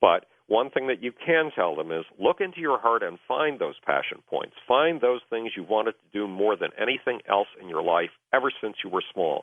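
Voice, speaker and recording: Speaking at a moderate pace in a medium pitch, a man makes very wide pitch swings and big swings in loudness. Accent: American. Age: 60s. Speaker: author. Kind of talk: radio interview.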